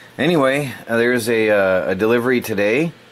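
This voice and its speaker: A man's pitch varies in an ordinary way, with noticeable noise in the background. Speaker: electronics and crypto mining youtuber. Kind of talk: unboxing tutorial. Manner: halting, with fillers; casual.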